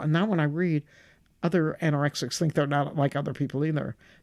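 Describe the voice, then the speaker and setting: A woman with a Midwestern accent talks at a fairly quick pace in a very deep, low voice. Her pitch varies in an ordinary way, and the recording is very clean with a silent background. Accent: American Midwest. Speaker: stand-up comedian. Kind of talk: interview answer.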